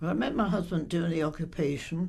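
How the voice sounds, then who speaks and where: A woman speaks in a fairly low voice. There is noticeable background noise behind her. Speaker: bank depositor. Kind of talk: interview answer.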